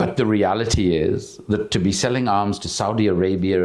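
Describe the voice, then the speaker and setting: The voice belongs to a man. His pitch moves with ordinary variation. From South Africa. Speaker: activist and author. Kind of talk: public conversation.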